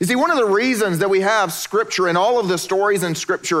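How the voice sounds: Pitch moves with ordinary variation. It is a natural reading voice.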